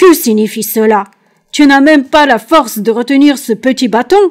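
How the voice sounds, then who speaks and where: The put-on character voice moves along at a moderate pace. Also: woman, high pitch for a woman. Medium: read story. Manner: gruff, scornful.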